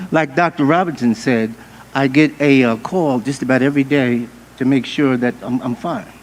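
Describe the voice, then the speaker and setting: A man talks at a moderate pace with fairly high pitch and ordinary pitch variation. Noticeable background noise runs behind him. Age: 60s. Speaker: church leader. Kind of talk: town hall panel remarks.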